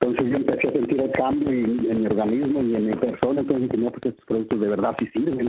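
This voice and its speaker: Against noticeable background noise, a man talks at a very fast pace with hardly any pauses and fairly even intonation. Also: medium pitch for a man. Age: 50s. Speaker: sales distributor. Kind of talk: interview. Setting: phone call.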